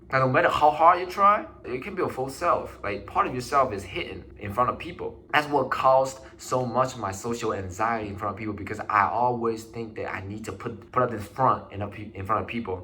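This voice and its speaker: Speaking with a Chinese accent, a man in a medium pitch talks at a fairly quick pace with hardly any pauses, lively intonation and big swings in loudness, amid audible room echo and noticeable background noise. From China. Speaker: vlogger. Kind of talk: personal vlog monologue. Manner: casual, halting with restarts.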